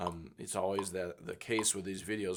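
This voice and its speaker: An ordinary speaking voice: a man with a fairly low pitch talks at a moderate pace with fairly even intonation. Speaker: piano teacher. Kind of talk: tutorial.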